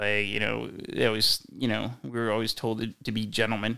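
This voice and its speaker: A man's fairly low, vocal-fry voice with a bright, sharp tone, monotone, flat intonation and a moderate pace. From Delaware, Wilmington area. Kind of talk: casual chat.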